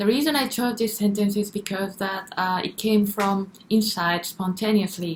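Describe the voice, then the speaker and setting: A woman speaks at a moderate pace in a medium pitch. Her voice is somewhat breathy, with fairly even intonation. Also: hardly any pauses. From Japan. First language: Japanese. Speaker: singer. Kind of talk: casual commentary. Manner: halting.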